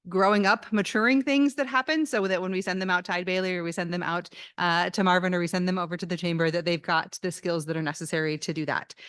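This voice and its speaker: Talking at a very fast pace, a woman barely pauses, with medium pitch and ordinary pitch variation. The background is quiet. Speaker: business college dean. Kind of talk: speech at campus event. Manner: hesitant with fillers.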